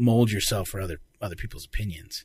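The recording is very clean with a silent background. A man speaks at a fairly quick pace. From Arizona. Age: 30s. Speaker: voice actor and comedian. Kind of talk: casual chat. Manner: animated.

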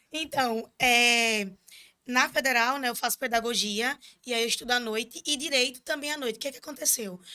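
Bright and sharp in tone, a woman's high-pitched voice moves at a moderate pace with ordinary pitch variation. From Pernambuco interior, Brazil (Surubim). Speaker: student union president. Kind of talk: casual interview. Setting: studio, live stream.

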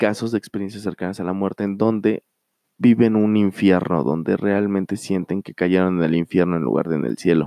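The speaker is a man with a fairly low pitch. He talks at a moderate pace with ordinary pitch variation. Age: 30s. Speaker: podcast host. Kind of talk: solo monologue storytelling. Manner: halting with fillers.

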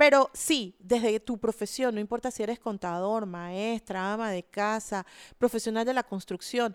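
A woman with an ordinary speaking voice talks at a moderate pace, fairly high in pitch with ordinary variation, in a very clean, dry, close recording with no echo and a silent background. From Panama, Panama City. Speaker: architect and environmental activist. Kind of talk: interview. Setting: studio.

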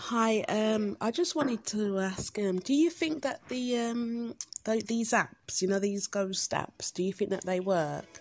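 A woman with a strong Birmingham accent talks at a fairly slow pace and a fairly high pitch with lively intonation. Her loudness stays very even, she hardly pauses, and background noise is noticeable. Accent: Birmingham (Brummie), strong. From Birmingham, England. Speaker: caller. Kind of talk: casual chat.

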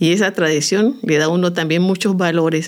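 A woman talks at a fairly slow pace with fairly even intonation. Her pitch is fairly low. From Colombia, Chocó (Andagoya). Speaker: folk dance teacher. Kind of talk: interview.

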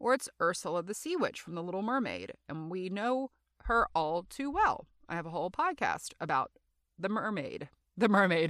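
A woman with an American accent and a medium pitch speaks at a moderate pace with very wide pitch swings, in a dry, close sound with no echo. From Louisiana. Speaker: podcast host, actor and comedian. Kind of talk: solo casual monologue. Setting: recording booth. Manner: loud; animated.

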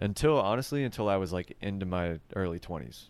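Very deep and low, this man's pitch varies in an ordinary way. The recording is very clean, with a silent background. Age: 20s. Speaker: podcast host. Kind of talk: casual chat.

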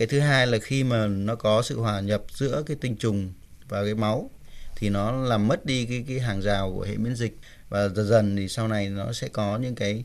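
Fairly low male pitch with ordinary variation, a plain, everyday voice. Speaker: doctor. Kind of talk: radio advice call-in. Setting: studio.

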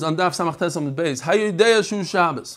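A man with a high pitch speaks in an animated tone at a moderate pace. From US Northeast (Brooklyn, New York). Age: 40s. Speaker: rabbi teaching daily Talmud page. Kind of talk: Talmud lesson. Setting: live video call stream.

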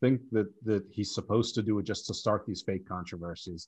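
A man's somewhat breathy voice at a moderate pace against a quiet background. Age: 50s. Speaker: podcast host. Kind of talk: casual chat.

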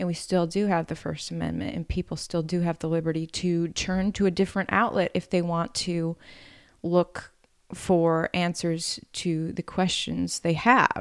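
Delivered at a moderate pace with fairly even intonation, a plain, everyday voice with an American accent comes through on a very clean recording with a silent background and a dry, close sound with no echo. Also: woman, fairly low pitch for a woman. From Wisconsin, US Upper Midwest. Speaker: news reporter and singer. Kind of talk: casual interview.

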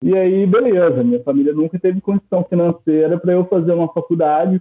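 Talking at a fairly quick pace, a high-pitched man shows ordinary pitch variation. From Brazil, Minas Gerais (Poços de Caldas). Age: 30s. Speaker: archaeologist. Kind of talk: casual interview chat.

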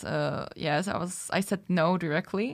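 On a very clean recording with a silent background, a woman speaks at medium pitch with a Czech accent. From Czech Republic. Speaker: podcast co-host. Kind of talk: casual chat.

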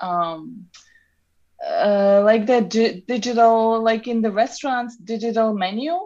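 Lively intonation carries a dark, mellow tone with a Serbian accent. The pace is fairly slow. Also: woman, fairly high pitch for a woman. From Serbia (Novi Sad). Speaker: traveler and photographer. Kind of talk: interview. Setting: remote call from Novi Sad.

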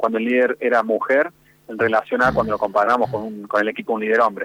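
This is a man talking. His pace is very fast. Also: dry, close sound with no echo. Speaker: university research director. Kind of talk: radio phone interview. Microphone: line dropped out.

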